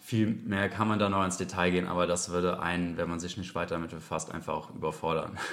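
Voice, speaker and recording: A man talks very fast in a very deep, low voice, with hardly any pauses and audible room echo. His intonation stays monotone and flat. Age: 30s. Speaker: police detective and snake catcher trainee. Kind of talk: educational interview.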